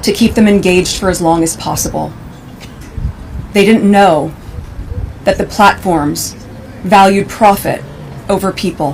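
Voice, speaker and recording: A woman's serious voice at medium pitch and a fairly slow pace, with ordinary pitch variation and noticeable background noise. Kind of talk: formal public speech at a memorial event. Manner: serious, emotional, measured.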